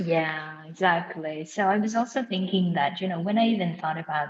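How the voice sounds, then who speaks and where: Against noticeable background noise, a woman with a non-native accent speaks at a fairly low pitch with ordinary pitch variation. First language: not English. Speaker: podcast host. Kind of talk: casual chat.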